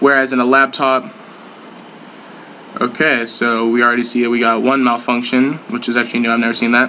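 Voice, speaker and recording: A man speaks very fast at a medium pitch in a flat monotone. Background noise is noticeable. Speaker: gaming YouTuber. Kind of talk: tutorial.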